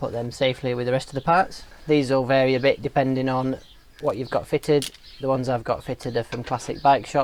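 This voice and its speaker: Talking at a very fast pace, a man holds a medium pitch. His intonation stays monotone and flat. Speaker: motorcycle vlogger. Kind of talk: tutorial. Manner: casual.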